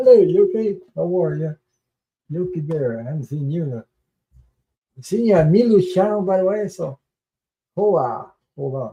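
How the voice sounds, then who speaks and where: A man's high voice with a dark, mellow tone and lively intonation, at a moderate pace broken by long, frequent pauses. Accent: French Canadian. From Quebec. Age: old. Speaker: tarot reader livestreamer. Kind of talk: live stream chat. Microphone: echo at start.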